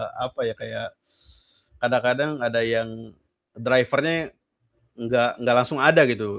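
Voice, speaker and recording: Against a quiet background, a man speaks at a fairly slow pace with fairly even intonation. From Jakarta, Betawi; Jakarta. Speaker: UI/UX designer; guest. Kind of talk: casual interview chat on a live stream; interview answer. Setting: live stream call. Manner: halting, many fillers. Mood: relaxed, casual. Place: home room. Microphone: studio mic.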